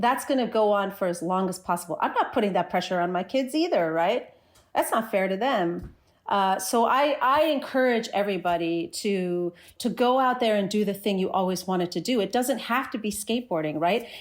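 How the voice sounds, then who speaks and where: Speaking at a fairly quick pace with an American accent, a woman uses lively intonation at a medium pitch on a very clean recording with a silent background. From US Northeast, New Jersey. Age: 40s. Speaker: skateboarder and social media creator. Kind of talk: interview conversation. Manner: animated.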